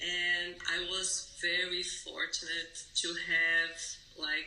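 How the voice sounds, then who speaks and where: A woman speaks amid noticeable background noise. Audible room echo surrounds her voice. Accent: Brazilian Portuguese. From Brazil. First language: Portuguese. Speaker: yoga teacher. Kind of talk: podcast interview. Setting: remote call.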